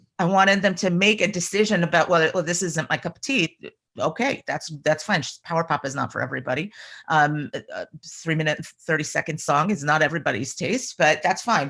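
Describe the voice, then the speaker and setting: An unremarkable speaking voice from a woman, fairly low in pitch with ordinary pitch variation, at a fairly quick pace on a very clean recording with a silent background. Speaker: rock band lead singer. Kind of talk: casual interview.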